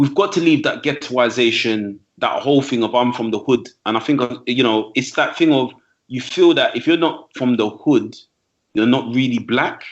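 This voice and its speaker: A man with a London accent at a moderate pace, with ordinary pitch variation. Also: medium pitch for a man. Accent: London English, multicultural London. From East London, England. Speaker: trainer and speaker, podcast guest. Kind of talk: casual podcast conversation. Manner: animated.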